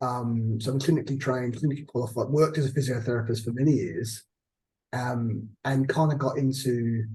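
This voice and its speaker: A man speaks with a dark, mellow tone and a somewhat breathy quality, with audible echo in the room. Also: medium pitch for a man. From Australia, Adelaide. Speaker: hospital chief executive. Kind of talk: interview. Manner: halting.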